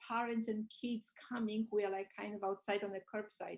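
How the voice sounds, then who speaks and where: Flat, monotone intonation marks this woman's fairly high-pitched voice. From Poland. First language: Polish. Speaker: school librarian. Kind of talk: casual chat.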